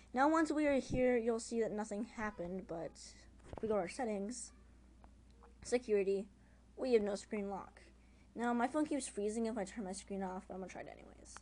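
A woman's fairly high voice at a fairly quick pace, with big swings in loudness, ordinary pitch variation and long, frequent pauses. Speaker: amateur phone hacking tutorial maker. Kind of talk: casual screen-recorded tutorial. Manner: casual, informal.

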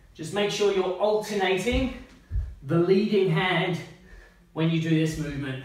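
A high-pitched man at a fairly slow pace, with ordinary pitch variation and audible room echo. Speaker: personal trainer. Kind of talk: tutorial. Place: home room. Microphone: camera far.

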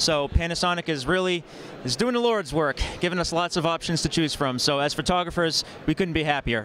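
With lively intonation and a fairly bright tone, a man talks at a fairly quick pace in a fairly high pitch.

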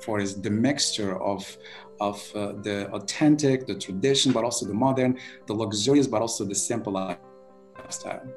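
A man talks at a moderate pace while faint music sits in the background. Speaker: remote interview guest. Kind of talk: interview answer. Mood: cheerful, smiling. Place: home room. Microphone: video call.

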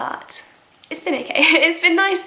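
At a moderate pace, a woman talks with audible room echo around her. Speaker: vlogger. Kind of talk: casual vlog chat. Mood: cheerful, laughs often. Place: home room.

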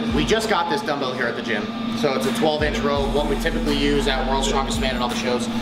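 A man rattles off his words very quickly while music plays clearly behind him. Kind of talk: casual vlog chat. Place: gym. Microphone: phone near.

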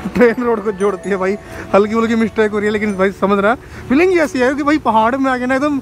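His pitch is high for a man. The sound is dry with no echo, and music plays clearly in the background. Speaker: travel vlogger. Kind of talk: casual vlog chat. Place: open country. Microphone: phone near.

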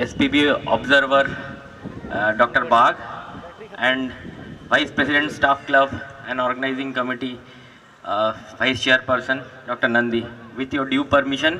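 Light background noise sits behind a man speaking at a fairly slow pace. His intonation is monotone and flat, with long, frequent pauses. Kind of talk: formal ceremony speech. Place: stage. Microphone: podium.

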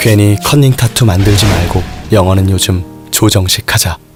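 A man speaks at a moderate pace in a very deep, low pitch. Music plays in the background. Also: long, frequent pauses, very even loudness. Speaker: voice actor. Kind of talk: TV commercial read. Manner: playful, humorous.

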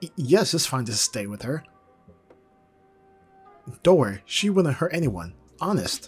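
A man puts on a character voice at a medium pitch, with a husky, rough edge and big pitch swings. He goes at a fairly slow pace while faint music plays in the background.

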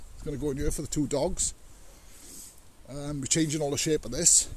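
A man with a fairly high pitch, ordinary pitch variation and a moderate pace

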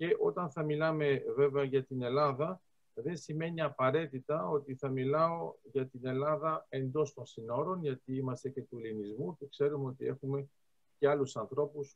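With ordinary pitch variation and a moderate pace, a man talks as the background stays quiet. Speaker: lecturer on geostrategy. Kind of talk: lecture. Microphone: video call.

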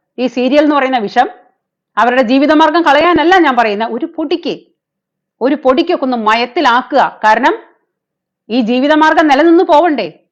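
A woman talks at a high pitch. Her pitch variation is ordinary. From Kerala, Thrissur. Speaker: YouTuber. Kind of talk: live stream commentary. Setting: live stream. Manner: animated.

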